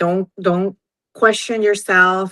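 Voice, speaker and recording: With a Venezuelan accent, a woman speaks at a medium pitch. Her pace is fairly slow and her intonation monotone and flat. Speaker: entrepreneur. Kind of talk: interview.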